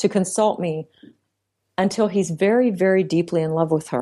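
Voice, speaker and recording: A woman's normal speaking voice at a medium pitch, with lively intonation over a quiet background. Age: 40s. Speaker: psychologist and relationship author. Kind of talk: interview.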